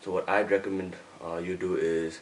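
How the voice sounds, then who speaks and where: A man delivers his words in a very deep, low register with monotone, flat intonation while noticeable background noise plays around him. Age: 20s. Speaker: fitness youtuber. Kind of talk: Q&A video. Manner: code-switching.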